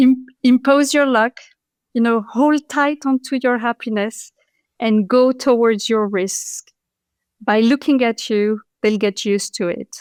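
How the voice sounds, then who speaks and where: In a French accent, a woman speaks at a fairly slow pace in a high pitch with fairly even intonation, her dry, close sound carrying no echo on a very clean recording with a silent background. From France (Paris), Moroccan parents. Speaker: patent attorney and entrepreneur. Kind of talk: interview conversation.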